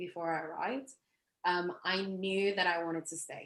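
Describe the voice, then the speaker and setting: This is a woman speaking with an English accent. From England. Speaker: marketing professional. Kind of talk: interview.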